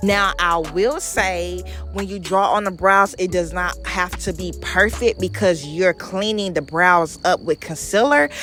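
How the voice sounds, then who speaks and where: With music playing in the background, a woman speaks in an animated tone at a fairly slow pace. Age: 20s. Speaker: makeup artist. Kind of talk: tutorial. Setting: voiceover.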